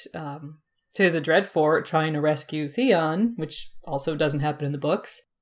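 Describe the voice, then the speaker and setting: Here is a plain, everyday voice. A woman talks with fairly low pitch and ordinary pitch variation. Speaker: podcaster. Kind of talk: casual chat. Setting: video call.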